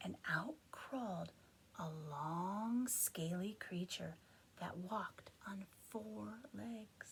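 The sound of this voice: Lively intonation from an unforced reading voice.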